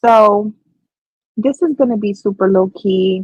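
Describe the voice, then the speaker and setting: A quiet, somewhat breathy woman with a medium pitch speaks at a fairly slow pace with fairly even intonation, in a dry, close sound with no echo. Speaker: crochet livestreamer. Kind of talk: casual livestream chat. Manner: low energy, quiet.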